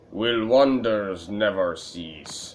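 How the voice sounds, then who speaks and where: This is a man doing a put-on character voice. His pitch sits fairly low. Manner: delighted, brightening.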